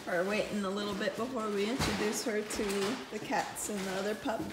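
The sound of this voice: A woman speaks at a fairly quick pace with fairly even intonation. Strong room echo surrounds her, and background noise is clearly heard. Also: medium pitch for a woman.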